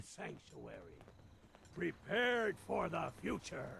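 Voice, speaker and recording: Doing a raspy put-on character voice, a man speaks at a fairly slow pace over clear background noise. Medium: video game. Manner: chipper.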